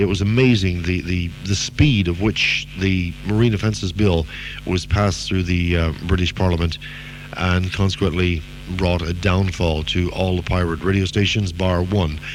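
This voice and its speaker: Music plays in the background as a man speaks in a very deep, low pitch. His intonation is fairly even and his pace moderate. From Canada. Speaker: radio DJ. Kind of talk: interview answer.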